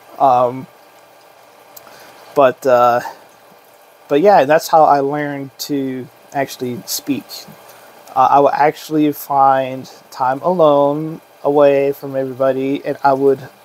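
Very slow and monotone, a man speaks with flat intonation and long, frequent pauses. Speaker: realtor. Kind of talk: casual talk to camera.

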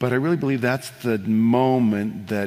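He speaks with intonation that stays mostly level throughout. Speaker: worship leader and author; interview guest. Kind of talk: interview answers on stage. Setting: live broadcast in a church with audience. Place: stage.

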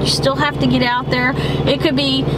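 A woman's voice at a fairly quick pace, over loud background noise. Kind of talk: casual vlog chat. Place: car.

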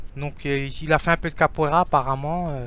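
A man with a fairly high pitch, light background noise and a dry sound with no echo. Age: 40s. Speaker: street dancer and video blogger; video blogger. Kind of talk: solo vlog monologue. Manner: halting, many hesitations. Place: home room.

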